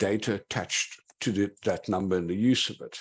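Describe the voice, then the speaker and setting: A man with a South African accent is heard in a very clean recording with a silent background. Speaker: digital forensics investigator. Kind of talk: conference talk.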